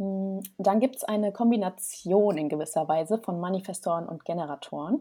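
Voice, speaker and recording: On a very clean recording with a silent background, a woman speaks at a medium pitch in a dark, mellow tone with ordinary pitch variation. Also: moderate pace. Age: 20s. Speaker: human design coach. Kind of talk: interview.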